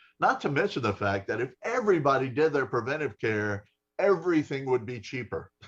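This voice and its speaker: A man with a plain, everyday voice at medium pitch. He talks at a fairly quick pace with lively intonation. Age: 60s. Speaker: health insurer live stream host. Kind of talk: live stream interview chat. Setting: Facebook live broadcast. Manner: casual, conversational.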